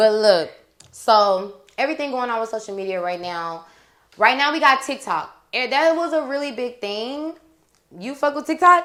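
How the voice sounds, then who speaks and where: With an American accent, a woman speaks at a moderate pace in a high, bright, sharp voice whose pitch swings very widely and whose loudness rises and falls a great deal. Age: young. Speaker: podcast host. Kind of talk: casual chat.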